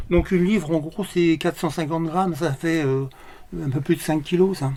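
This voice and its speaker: Recorded very cleanly against a silent background, a man with a high pitch and a dark, mellow tone speaks at a moderate pace with fairly even intonation. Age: 70s. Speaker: senior bowling club member. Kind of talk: casual interview. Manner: hesitant, many filler sounds.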